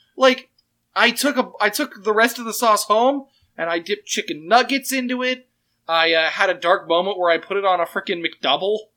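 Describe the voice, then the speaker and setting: The speech moves at a fairly quick pace on a very clean recording with a silent background. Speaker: podcast co-host and game master. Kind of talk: casual chat. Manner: loud.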